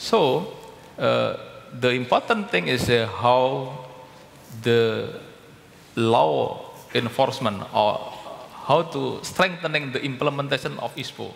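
A man with an Indonesian accent, very slow, with long, frequent pauses. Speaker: palm oil company director; panelist. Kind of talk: panel discussion. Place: hall. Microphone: headset.

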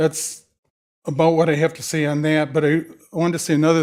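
In a monotone, flat intonation, a man with an American accent speaks at a fairly high pitch. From Monroe, Michigan. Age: 70s. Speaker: public commenter at city council meeting. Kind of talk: public comment.

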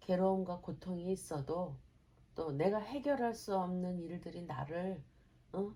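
Very slowly, a woman speaks in a dark, mellow, somewhat breathy tone with ordinary pitch variation. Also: medium pitch for a woman. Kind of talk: casual conversation with mother.

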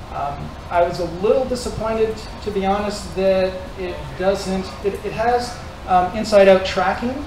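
A high-pitched man's voice comes through with audible room echo and noticeable background noise. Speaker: tech meetup organizer. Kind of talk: meetup announcements. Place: hall.

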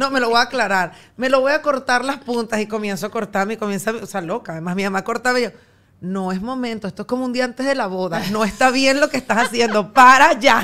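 A woman's fairly high, bright, sharp voice in a Venezuelan accent, very fast, with ordinary pitch variation. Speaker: radio and TV presenter, podcaster; radio, TV presenter, podcaster. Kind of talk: casual chat. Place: studio. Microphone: studio mic.

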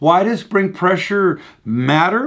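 A man talks, and the background stays quiet. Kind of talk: tutorial. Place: workshop.

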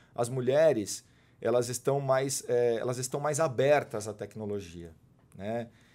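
Fairly slow speech from a man, dark and mellow in tone, with ordinary pitch movement. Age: 40s. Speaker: sales and marketing manager at a tech company; sales. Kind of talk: casual interview. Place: studio. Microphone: studio mic.

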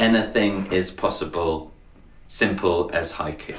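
The delivery is very slow. Audible room echo and light background noise accompany it. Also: man. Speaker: poet. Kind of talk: slam poetry performance. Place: home room. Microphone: webcam.

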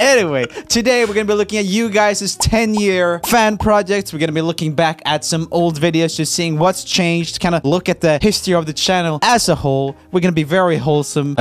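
With music in the background, a man with a Swedish accent and a high pitch talks at a fairly quick pace with ordinary pitch variation in a dry sound with no echo. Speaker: YouTube musician, video host. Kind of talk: casual vlog chat. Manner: casual, chatty. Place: home room. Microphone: studio mic.

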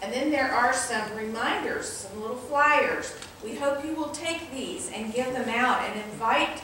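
A woman speaks in a raised, projected voice at a fairly slow pace. Strong room echo surrounds her, with light background noise. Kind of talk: church announcements. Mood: warm, inviting. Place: church.

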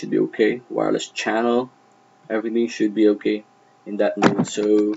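Male speech at a moderate pace, with light background noise. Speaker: network tutorial narrator. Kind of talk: tutorial. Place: home room.

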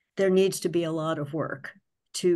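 The intonation is monotone and flat. The background is quiet. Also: woman. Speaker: finance committee member. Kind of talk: public committee meeting discussion. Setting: video call. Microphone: video call.

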